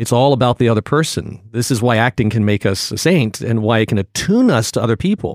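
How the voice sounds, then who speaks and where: A man with an American accent at a medium pitch and ordinary pitch variation, very fast with hardly any pauses, dry and close with no echo, in a very clean recording with a silent background. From US, Virginia (Portsmouth). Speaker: acting professor and acting coach. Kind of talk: casual interview.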